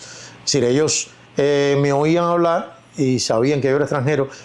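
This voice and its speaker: A man talks at a fairly high pitch. Noticeable background noise is present. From Cuba. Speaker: actor. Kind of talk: interview.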